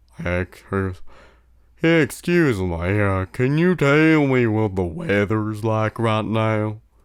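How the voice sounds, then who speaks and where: A man uses a put-on character voice at a medium pitch and a very slow pace. The recording is very clean, with a silent background. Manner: polite, tentative.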